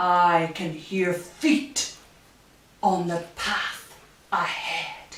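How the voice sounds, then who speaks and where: A woman's put-on character voice, fairly low and very slow, with long, frequent pauses and a slight echo. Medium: read story.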